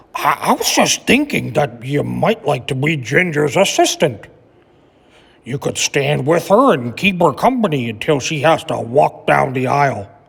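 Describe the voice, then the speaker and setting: A man does a raspy, put-on character voice at a fairly high pitch with very wide pitch swings. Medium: read story. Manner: warm, gentle.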